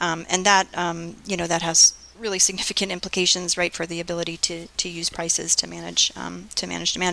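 With an American accent, a woman talks at a fairly quick pace in a fairly low pitch. Her intonation is monotone and flat, and background noise is noticeable. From US, Florida (Fort Lauderdale area). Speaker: economics professor. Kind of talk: interview.

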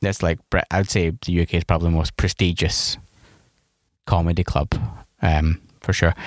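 A man with a very deep, low pitch speaks at a moderate pace with fairly even intonation, very even loudness and long, frequent pauses, in a dry, close sound with no echo and a very clean recording against a silent background. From Scotland. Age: 30s. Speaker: stand-up comedian. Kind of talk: casual chat. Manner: halting.

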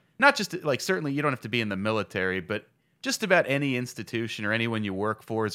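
A man speaks at a very fast pace at medium pitch, his bright, sharp tone and lively intonation captured on a very clean recording with a silent background. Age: 30s. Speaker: stand-up comedian. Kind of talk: casual chat. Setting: studio.

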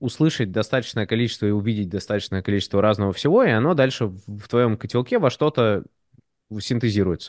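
A plain, everyday voice from a man, medium in pitch with ordinary pitch variation, in a dry, close sound with no echo over a quiet background. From Moscow, Russia, partly raised in the US. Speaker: designer and 3D artist. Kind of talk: casual podcast conversation.

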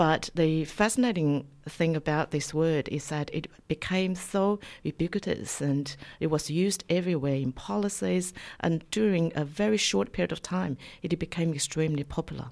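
A woman speaks in a very deep, low pitch at a moderate pace. The recording is very clean, with a silent background. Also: lively intonation. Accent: Chinese. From China. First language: Chinese. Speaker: university lecturer. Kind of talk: radio interview. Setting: studio. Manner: halting, many fillers.

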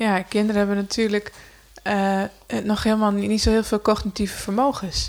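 Heard over a silent background in a very clean recording, a woman talks at a moderate pace. Her medium-pitched voice is monotone and flat. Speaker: podcast co-host. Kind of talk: casual chat.

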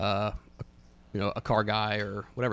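Very fast speech from a man at a fairly low pitch, with ordinary pitch variation and vocal fry. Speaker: car enthusiast guest. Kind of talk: casual chat.

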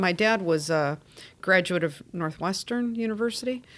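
In a normal speaking voice, a woman with an American accent talks at a medium pitch with ordinary pitch variation on a very clean recording with a silent background. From Chicago, US Midwest. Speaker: social work executive director. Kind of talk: interview.

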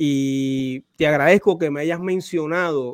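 In a normal speaking voice, a man talks at a fairly slow pace with fairly high pitch and fairly even intonation, the sound dry and close with no echo. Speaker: podcast host. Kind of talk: interview. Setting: video call.

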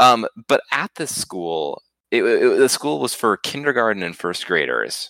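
This man's voice has vocal fry and a bright, sharp tone. He talks at a moderate pace in a very clean, silent recording with a dry, close sound and no echo. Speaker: podcast co-host, student. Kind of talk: casual chat.

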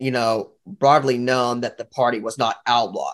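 Moderate pace over a quiet background. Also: man. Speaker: class participant. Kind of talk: group discussion.

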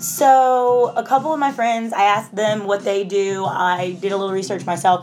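A woman at a medium pitch and moderate pace, with music in the background. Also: ordinary pitch variation, hardly any pauses. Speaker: fitness instructor and podcast host. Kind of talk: casual solo podcast talk. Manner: casual, filler-heavy.

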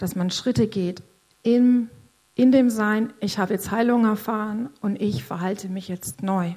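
The voice has a dark, mellow tone, is somewhat breathy, and shows ordinary pitch variation on a very clean recording with a silent background. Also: woman. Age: 50s. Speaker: church member sharing testimony. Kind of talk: testimony. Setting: stage in church service. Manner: halting.

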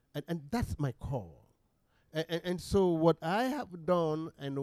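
Heard in a dry, close sound with no echo, a man with a dark, mellow tone speaks at a moderate pace. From Sierra Leone. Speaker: bishop. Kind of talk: interview. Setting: office.

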